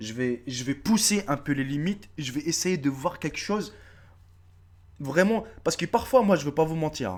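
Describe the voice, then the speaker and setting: On a very clean recording with a silent background, a man sounds animated, his fairly high voice moving with lively intonation at a moderate pace. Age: 30s. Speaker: YouTuber. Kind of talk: casual vlog address to subscribers. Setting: face-camera video.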